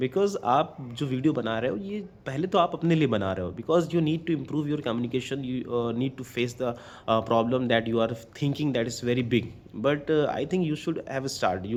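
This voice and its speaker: This man speaks with an Indian accent at a moderate pace. His medium-pitched voice has lively intonation. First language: Hindi. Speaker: English learner vlogger. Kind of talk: casual talk to camera. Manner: hesitant, non-fluent, many fillers.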